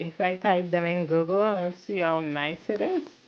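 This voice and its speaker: The pace is fairly slow as a woman speaks at a medium pitch. Noticeable background noise sits behind her. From Haiti. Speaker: livestreamer. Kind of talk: casual chat. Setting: YouTube livestream.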